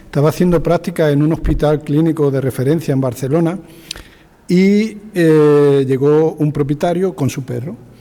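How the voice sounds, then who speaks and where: A man talks with a fairly high pitch and fairly even intonation. Noticeable background noise sits behind him. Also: moderate pace. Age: 60s. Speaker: veterinarian. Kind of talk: anecdote in panel discussion.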